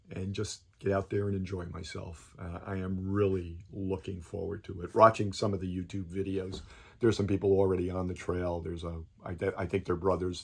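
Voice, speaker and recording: A man with a very deep, low, somewhat breathy voice speaks at a fairly quick pace in a monotone, flat way. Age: 70s. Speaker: hiker vlogger. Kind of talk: video announcement monologue. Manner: halting, many fillers.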